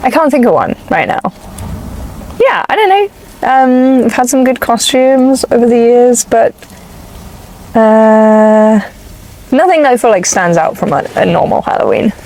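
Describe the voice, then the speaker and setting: Amid noticeable background noise, a woman with an English accent speaks in a high pitch and lively intonation, holding a very even loudness while leaving long, frequent pauses. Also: moderate pace. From England. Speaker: rideshare passenger. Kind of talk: casual chat. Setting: in a car.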